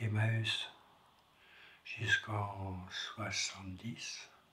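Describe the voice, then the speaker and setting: There is audible room echo in this clip. The speaker is a man. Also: long, frequent pauses. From France. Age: 70s. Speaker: foyer resident. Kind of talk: testimony.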